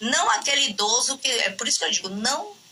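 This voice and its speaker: Noticeable background noise surrounds a woman speaking at a moderate pace. Her high pitch moves in very wide pitch swings. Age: 60s. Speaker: gerontologist and professor. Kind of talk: podcast interview. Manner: halting, many fillers and restarts.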